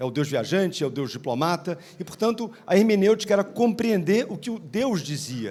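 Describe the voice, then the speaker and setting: Lively intonation carries this man's speech along at a fairly quick pace. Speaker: law professor / legal scholar panelist. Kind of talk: conference talk. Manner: fast.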